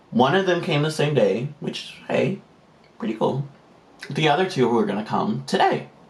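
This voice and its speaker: A man talks at a fairly slow pace with a fairly high pitch. His lively intonation carries some vocal fry. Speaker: beauty vlogger. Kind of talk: casual chat.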